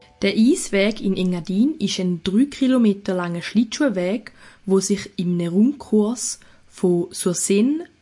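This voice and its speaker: With a dark, mellow tone and some breathiness, a woman speaks at a very slow pace with ordinary pitch variation. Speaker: podcast co-host. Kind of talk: casual chat; scripted narration.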